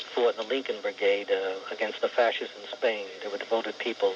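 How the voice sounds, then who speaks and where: Against noticeable background noise, a man talks at a fairly quick pace. His medium-pitched delivery is monotone and flat. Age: 60s. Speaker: caller. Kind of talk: heated debate. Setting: phone call. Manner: halting, repetitive.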